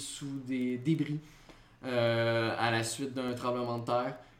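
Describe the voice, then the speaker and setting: The speech comes at a very slow pace, with audible echo from the room. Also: man. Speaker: gaming podcast co-host. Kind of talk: casual chat; news reading.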